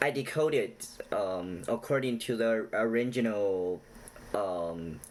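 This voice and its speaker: Over noticeable background noise, a man with a non-native accent speaks at medium pitch and a very slow pace, with ordinary pitch variation and long, frequent pauses. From China. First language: not English. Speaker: YouTuber explaining Chinese culture. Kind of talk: casual direct-to-camera talk; storytelling retelling. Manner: halting with many fillers.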